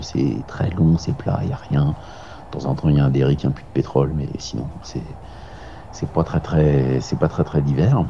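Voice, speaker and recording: Noticeable background noise accompanies a man whose voice is very deep and low-pitched. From Paris region, France. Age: 40s. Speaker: amateur ultra-distance cyclist. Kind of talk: interview. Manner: hesitant with fillers.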